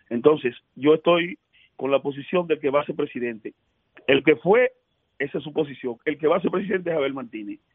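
A man with an ordinary speaking voice talks at a fairly high pitch and a fairly quick pace. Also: lively intonation. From Dominican Republic, Elías Piña. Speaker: senator. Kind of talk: radio interview.

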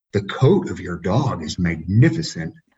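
Using a put-on character voice, a man speaks in a fairly low pitch. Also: moderate pace.

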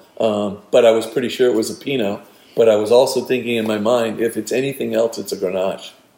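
Racing at a very fast pace, a man speaks with a medium pitch, a dark, mellow tone and fairly even intonation. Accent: American. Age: 60s. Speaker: winemaker and vineyard owner. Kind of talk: casual interview.

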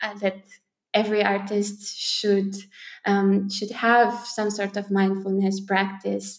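With a Romanian accent, a woman speaks very slowly at a medium pitch. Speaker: poet and spoken word artist. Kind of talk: interview conversation.

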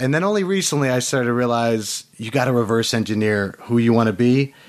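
Talking at a very fast pace, a man holds a medium pitch with ordinary pitch variation. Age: 30s. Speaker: entrepreneur. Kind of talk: interview.

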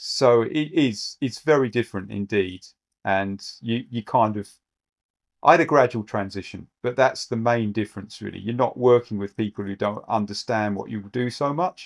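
On a very clean recording with a silent background, a man with a British accent speaks at a moderate pace in a medium pitch, with ordinary pitch variation. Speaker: actuary and exam tutor. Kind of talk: interview.

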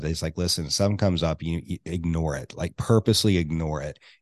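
Against a quiet background, a man talks at a fairly quick pace in a very deep, low pitch. His intonation is fairly even, and the sound is dry and close with no echo. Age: 30s. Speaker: podcast co-host. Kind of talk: casual chat. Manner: halting.

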